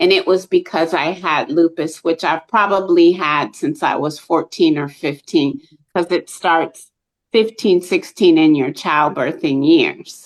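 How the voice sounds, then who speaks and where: With an ordinary speaking voice, this woman has a fairly low pitch, ordinary pitch variation and a fairly slow pace. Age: 60s. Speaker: lupus advocate. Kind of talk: testimony.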